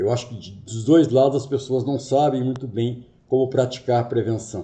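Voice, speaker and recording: A man's somewhat breathy voice with a dark, mellow tone, big swings in loudness, fairly even intonation and a moderate pace, plus audible room echo. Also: medium pitch for a man. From Brazil, Rio de Janeiro. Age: 50s. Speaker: workplace safety consultant and trainer. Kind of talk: lecture.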